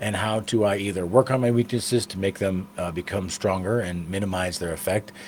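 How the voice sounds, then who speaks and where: A man with a fairly low pitch speaks at a fairly quick pace with hardly any pauses. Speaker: motivational speaker. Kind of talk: motivational talk. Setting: studio. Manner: loud; casual, filler-heavy.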